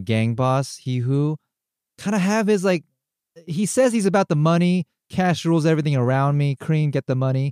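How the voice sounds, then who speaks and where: A man has a normal speaking voice with a fairly high pitch and a moderate pace. The sound is dry and close with no echo. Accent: American. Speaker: podcast host. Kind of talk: casual chat.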